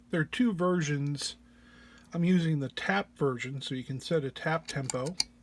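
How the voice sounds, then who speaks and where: A man speaks in a fairly high pitch with a somewhat breathy quality. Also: very clean recording, silent background. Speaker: synth patch designer. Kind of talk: tutorial walk-through. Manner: hesitant, many fillers.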